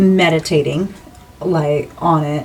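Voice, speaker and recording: Over music in the background, a woman speaks at a very slow pace with lively intonation. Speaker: tarot reader. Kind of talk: tarot reading.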